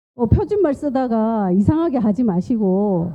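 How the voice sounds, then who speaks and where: A woman with a strong western Gyeongsang accent, medium in pitch and very slow in pace. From western Gyeongsang, Korea. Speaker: nurse and nutrition lecturer. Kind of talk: lecture.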